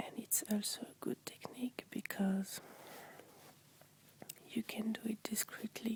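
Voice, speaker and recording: A woman whispers at a fairly slow pace, with long, frequent pauses. The sound is dry and close, with no echo. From France. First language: French. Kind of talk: ASMR talk to camera. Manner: relaxing, soft-spoken.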